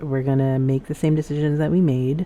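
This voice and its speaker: Soft-spoken, a woman talks with a very deep, low pitch, a dark, mellow tone and monotone, flat intonation. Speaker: gaming streamer. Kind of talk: gameplay commentary.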